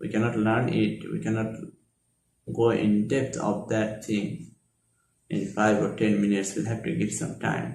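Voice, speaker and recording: Audible room echo surrounds a man with a Bengali accent who talks at a fairly slow pace and fairly low pitch, with vocal fry, ordinary pitch variation, and long, frequent pauses. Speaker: Islamic lecturer. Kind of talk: lecture.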